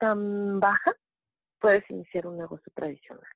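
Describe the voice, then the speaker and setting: This is a woman with a plain, everyday voice. Her pitch sits fairly high. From Mexico City. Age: 40s. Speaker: network marketing distributor. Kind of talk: testimony and sales pitch. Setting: phone call.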